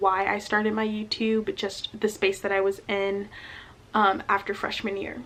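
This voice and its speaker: Her medium-pitched voice stays monotone and flat as the woman speaks. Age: 20s. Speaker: college student. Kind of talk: casual talk to camera.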